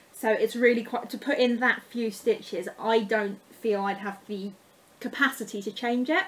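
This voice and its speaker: Spoken at a moderate pace with an English accent, the voice shows ordinary pitch variation. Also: woman, fairly high pitch for a woman. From England. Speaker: craft vlogger. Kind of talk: casual haul show-and-tell.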